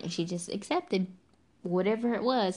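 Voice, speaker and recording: A woman with a Southern US accent, medium pitch and ordinary pitch variation, at a fairly quick pace against a quiet background. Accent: Southern American. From US South. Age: 20s. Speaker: podcast host. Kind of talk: casual monologue. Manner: animated.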